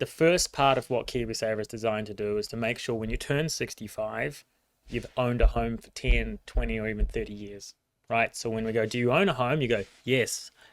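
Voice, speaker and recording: Over a silent background in a very clean recording, a man with a New Zealand accent speaks at a fairly quick pace. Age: 30s. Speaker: financial services CEO. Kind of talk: casual interview chat. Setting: livestreamed studio show.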